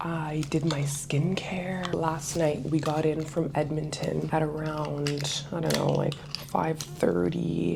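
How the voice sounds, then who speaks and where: A woman whispers at a very slow pace with hardly any pauses and very even loudness, with audible room echo. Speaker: travel vlogger. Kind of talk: casual vlog talk to camera. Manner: whispering; casual, filler-heavy.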